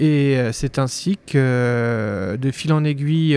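This man has a fairly high pitch. His intonation is fairly even. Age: 30s. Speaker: dentist. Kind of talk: interview.

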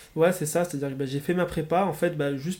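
A man talks at a fairly high pitch. His intonation stays fairly even. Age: 20s. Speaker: student entrepreneur. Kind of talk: interview. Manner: hesitant, many fillers.

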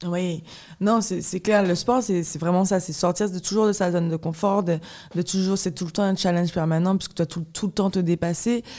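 Her tone is dark and mellow, and her intonation is fairly even. The woman speaks at a moderate pace. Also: medium pitch for a woman. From Guadeloupe. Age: 20s. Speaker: professional fencer. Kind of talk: interview conversation. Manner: halting.

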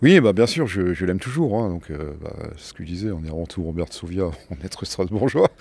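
A man speaks at a moderate pace in a very deep, low pitch with ordinary pitch variation. His loudness swings widely on a very clean recording with a silent background. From Strasbourg, Alsace, France. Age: 60s. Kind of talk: interview testimony. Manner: hesitant, with repetitions.

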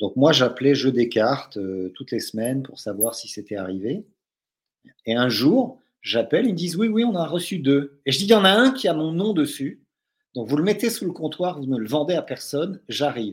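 A man talks at a moderate pace, his pitch making very wide swings. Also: fairly high pitch for a man. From France, from an English-speaking family. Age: 60s. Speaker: doctor, novelist and role-playing gamer. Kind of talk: casual chat.

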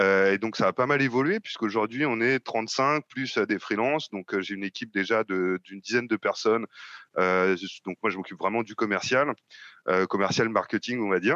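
A man's bright, sharp voice at a moderate pace, with a dry, close sound with no echo and a quiet background. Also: medium pitch for a man, ordinary pitch variation. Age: 30s. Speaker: software sales manager. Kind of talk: interview. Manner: halting, with frequent fillers.

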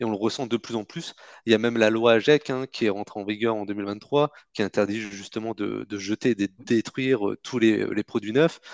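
A man with a fairly low pitch and a normal speaking voice, at a moderate pace, with fairly even intonation against a quiet background. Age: 30s. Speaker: entrepreneur, company co-founder. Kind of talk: interview.

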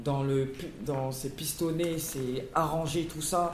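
Speaking very slowly with fairly even intonation, a man is heard through audible room echo and noticeable background noise. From Paris region (Hauts-de-Seine). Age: 20s. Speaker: former prisoner. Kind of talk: testimony.

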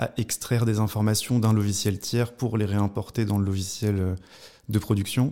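In a very clean recording with a silent background, a man with a dark, mellow tone and fairly low pitch speaks at a moderate pace in a monotone, flat delivery. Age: 20s. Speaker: former accountant turned web developer. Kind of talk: interview. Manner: halting, many repetitions and fillers.

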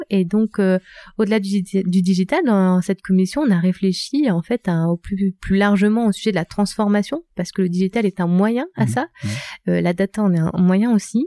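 A plain, everyday voice at a moderate pace, with very even loudness and ordinary pitch variation, dry and close with no echo in a very clean recording with a silent background. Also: woman, medium pitch for a woman. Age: 30s. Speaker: tech entrepreneur. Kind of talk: interview.

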